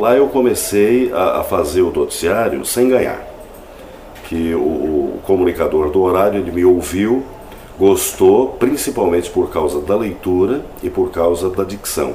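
The man talks fairly slowly. Behind him is noticeable background noise. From Paraná, Brazil (Jaguapitã, near Londrina). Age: 40s. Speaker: radio announcer and advertising professional. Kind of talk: interview testimony. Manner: halting.

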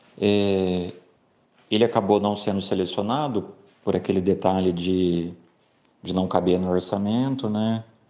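Slow and fairly even, a man speaks in a fairly low voice with a dark, mellow tone. He leaves long, frequent pauses. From São Paulo interior, São José do Rio Preto. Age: 30s. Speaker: writer. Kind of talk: interview.

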